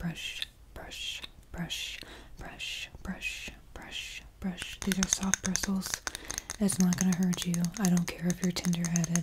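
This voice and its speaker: A woman speaks very slowly at a fairly low pitch, leaving long, frequent pauses. Noticeable background noise runs behind her. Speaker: ASMR creator. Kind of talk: role-play talk to viewer. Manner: soft, close-mic ASMR speech, bossy. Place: home room. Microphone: studio mic.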